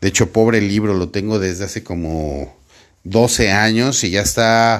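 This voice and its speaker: With a plain, everyday voice, a man speaks at a fairly slow pace and fairly low pitch on a very clean recording with a silent background. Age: 40s. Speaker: sales podcast host and sales coach. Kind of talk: solo podcast monologue. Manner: casual, warm with filler words.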